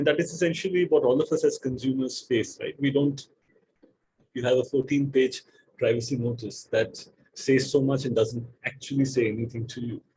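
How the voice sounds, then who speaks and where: Speaking with a non-native accent, a man uses a dark, mellow, somewhat breathy tone at medium pitch, with fairly even intonation and a moderate pace. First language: not English. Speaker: data protection lawyer on expert panel. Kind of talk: panel discussion. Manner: halting, many repeated words.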